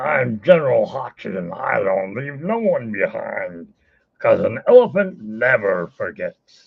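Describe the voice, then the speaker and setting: A man speaks in a put-on character voice at a fairly slow pace. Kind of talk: booming, commanding. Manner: pompous, military.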